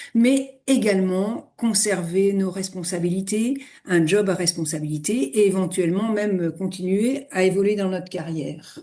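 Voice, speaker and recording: Her voice is medium-pitched, with a dark, mellow tone. The woman speaks fairly slowly, with ordinary pitch variation. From eastern France. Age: 60s. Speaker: retired finance executive and yoga teacher. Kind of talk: interview. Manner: hesitant, frequent fillers.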